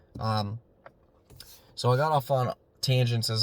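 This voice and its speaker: A somewhat breathy man at medium pitch talks with fairly even intonation in a very clean, dry, close recording with a silent background and no echo. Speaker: YouTuber on digital marketing. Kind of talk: casual solo talk to camera. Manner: monotone; hesitant, many fillers.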